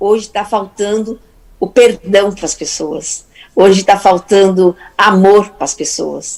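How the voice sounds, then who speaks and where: A woman speaks in a medium pitch at a very slow pace. Noticeable background noise runs behind her. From Portugal. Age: 60s. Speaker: therapist and speaker. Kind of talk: motivational talk.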